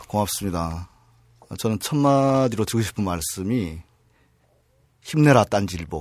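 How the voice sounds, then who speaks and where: Lively intonation marks this man's speech. He talks at a fairly slow pace with long, frequent pauses. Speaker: railway union leader. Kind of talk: interview.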